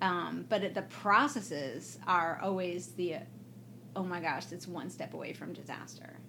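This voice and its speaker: With a bright, sharp tone and vocal fry, a woman with an American accent speaks at a fairly slow pace and fairly low pitch, her intonation lively and her loudness swinging widely amid audible room echo. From US Midwest, Evanston, Illinois (Chicago area). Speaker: political science professor. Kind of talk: casual interview chat. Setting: recorded at an academic conference.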